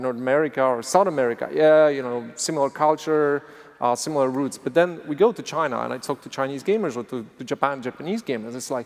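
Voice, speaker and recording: A man with a Polish accent talks at a fairly quick pace. His pitch is fairly high with ordinary pitch variation. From Poland. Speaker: game studio executive. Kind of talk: panel discussion. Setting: stage with audience. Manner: halting.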